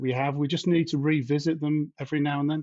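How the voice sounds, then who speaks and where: Speaking very fast in a British accent, a man keeps a monotone, flat intonation. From UK. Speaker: independent software developer. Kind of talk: podcast discussion.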